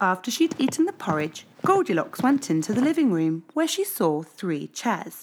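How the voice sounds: A natural reading voice carries the whole clip.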